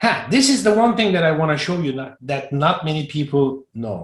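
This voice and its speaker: Using a non-native accent, a man speaks in a fairly high, somewhat breathy voice with very wide pitch swings. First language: not English. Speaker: Salesforce flow trainer. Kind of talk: live online training session. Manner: halting, repeats words.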